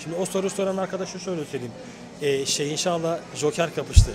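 A man with a high pitch and fairly even intonation, fairly quick pace, noticeable background noise. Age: 40s. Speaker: rapper. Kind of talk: interview. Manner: halting.

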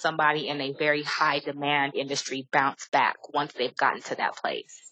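A woman speaks at a moderate pace in a very deep, low pitch. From California. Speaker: podcast host, digital strategist. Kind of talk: casual interview.

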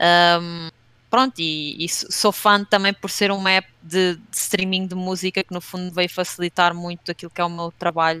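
The recording is very clean, with a silent background and a dry, close sound with no echo. A woman with a bright, sharp tone speaks at a moderate pace in a monotone, flat intonation, with big swings in loudness. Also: fairly low pitch for a woman. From Portugal, Leiria region. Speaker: streamer and video game industry marketer. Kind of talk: casual interview chat.

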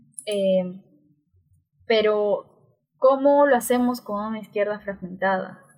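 This woman has a plain, everyday voice with a fairly high pitch and fairly even intonation. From Peru, Juliaca (Puno). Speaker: sociologist and university lecturer. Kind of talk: interview conversation.

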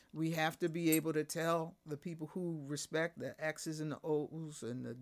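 Hardly pausing, a woman speaks in a very deep, low pitch with monotone, flat intonation. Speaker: guest. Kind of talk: casual chat interview. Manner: not a fast talker.

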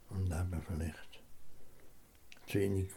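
A man's very deep, low voice comes across calm in tone, somewhat breathy and monotone with flat intonation. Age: 80s+. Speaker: retired farmer. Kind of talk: interview. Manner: halting.

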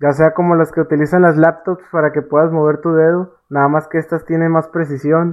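A man talks at a fairly quick pace with hardly any pauses. His fairly high pitch holds a monotone, flat intonation. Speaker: podcast co-host, amateur illustrator. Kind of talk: casual chat.

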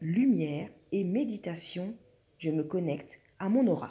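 A woman at a very slow pace, somewhat breathy, with a dark, mellow tone and very wide pitch swings. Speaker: spiritual wellness podcaster. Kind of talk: casual monologue.

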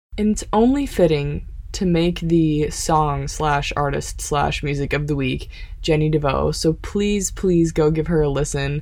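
A woman with an American accent speaks at a moderate pace while noticeable background noise carries on. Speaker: podcast host. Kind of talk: interview. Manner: animated.

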